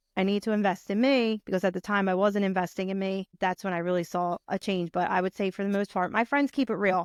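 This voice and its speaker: A woman with a strong Philadelphia accent at a very fast pace with hardly any pauses, medium pitch and fairly even intonation, in a dry, close sound with no echo on a very clean recording with a silent background. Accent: thick Philadelphia. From Philadelphia, US. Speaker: brand strategist and podcaster. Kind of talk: interview conversation.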